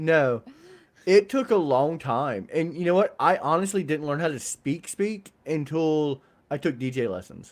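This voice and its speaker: A man's fairly high voice, lively in intonation, at a fairly slow pace. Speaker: podcast co-host. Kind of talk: casual chat. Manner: learned DJ-style projected voice.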